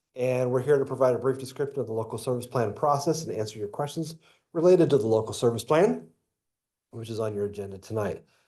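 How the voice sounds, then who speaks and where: Against a quiet background, a man with a medium pitch and dark, mellow tone speaks at a very fast pace with ordinary pitch variation. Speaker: school district superintendent. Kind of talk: reading a prepared statement at a public meeting. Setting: school board meeting.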